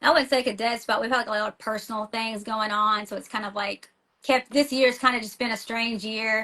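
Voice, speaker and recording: The voice, in a Tennessee accent, has a bright, sharp tone and moves at a fairly quick pace. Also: woman. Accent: Tennessee country. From US South, small-town Tennessee. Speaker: rock band vocalist and school teacher. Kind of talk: casual interview chat. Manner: animated, fast with many fillers and restarts.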